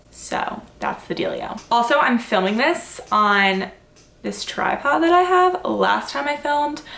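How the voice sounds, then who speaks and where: A woman's fairly slow speech, with audible room echo and noticeable background noise. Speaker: fitness vlogger. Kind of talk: casual vlog Q&A. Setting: home, filmed on tripod at night. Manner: rambling, casual, many fillers.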